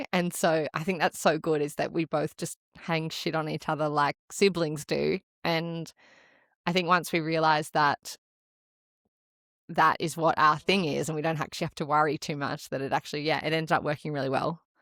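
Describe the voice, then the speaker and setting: Recorded very cleanly against a silent background with a dry, close sound and no echo, a woman with an Australian accent speaks at a moderate pace in a very deep, low, flat monotone. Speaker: podcast co-host and marathon runner. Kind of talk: casual chat. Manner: relaxed.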